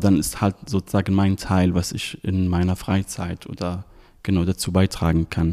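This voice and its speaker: Moderate pace and monotone, flat intonation, with a dry, close sound with no echo on a very clean recording against a silent background. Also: man, very deep, low pitch for a man. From Syria. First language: Arabic (speaking German). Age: 30s. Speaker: volunteer. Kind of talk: interview. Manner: hesitant with fillers.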